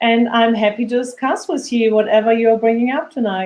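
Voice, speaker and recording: A woman speaks with a German accent. Her pitch is fairly high. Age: 50s. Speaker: parent. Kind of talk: interview. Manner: halting.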